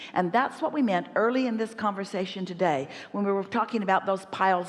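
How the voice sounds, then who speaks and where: Noticeable background noise sits behind a woman with a medium pitch. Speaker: spiritual teacher giving answers to audience questions at a live workshop. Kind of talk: motivational teaching talk answering an audience member.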